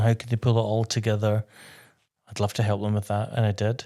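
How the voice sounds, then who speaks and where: This man has a west of Scotland accent and a fairly low pitch. His intonation stays monotone and flat. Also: very clean recording, silent background. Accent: Scottish (west of Scotland). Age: 60s. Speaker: interior designer and TV presenter. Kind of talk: interview.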